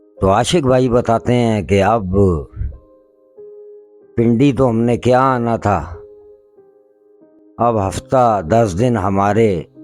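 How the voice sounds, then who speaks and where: Music plays behind a man who speaks at medium pitch with very even loudness and ordinary pitch variation. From Pakistan. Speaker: paranormal investigator. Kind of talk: horror story narration.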